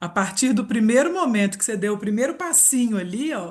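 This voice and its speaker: Somewhat breathy, a woman talks at a moderate pace in a fairly high pitch. Her intonation is lively. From Minas Gerais, Brazil. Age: 40s. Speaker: reiki therapist and aromatherapy presenter. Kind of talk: live webinar presentation. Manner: animated.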